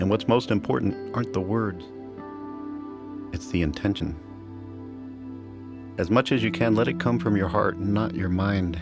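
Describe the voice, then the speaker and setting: With music in the background, a man with a fairly low pitch and a calm tone speaks with lively intonation and long, frequent pauses. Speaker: meditation teacher. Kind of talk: guided meditation. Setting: studio. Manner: calm, slow.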